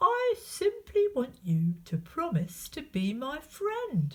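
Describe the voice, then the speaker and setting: A put-on character voice is pitched high. It moves at a very slow pace. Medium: read story.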